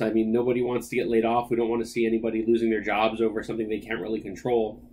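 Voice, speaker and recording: The pace is very fast. A man speaks at medium pitch. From Hawaii. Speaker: podcast host, IT managed services professional. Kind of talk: solo podcast monologue. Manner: casual, filler-heavy.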